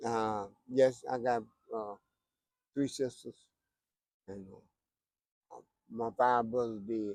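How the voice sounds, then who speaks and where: A man's medium-pitched voice in a North Carolina accent, monotone and flat, at a very slow pace with long, frequent pauses. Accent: Southern US, North Carolina. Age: 60s. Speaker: homeless man interviewed. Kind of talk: street interview. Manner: halting, repeats words.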